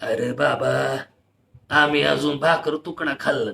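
A man does a put-on character voice, raspy and weary, at a fairly high pitch and very slow pace. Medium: read story. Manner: weary, grumbling.

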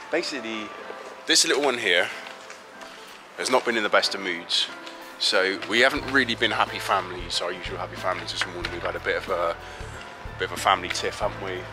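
A man talking at a very fast pace with clear music in the background. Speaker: family vlogger. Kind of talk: casual vlog chat. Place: street. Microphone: phone near.

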